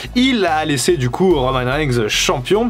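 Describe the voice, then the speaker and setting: A man's pitch swings very widely, with background noise clearly audible behind him. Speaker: wrestling YouTuber. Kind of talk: casual video commentary.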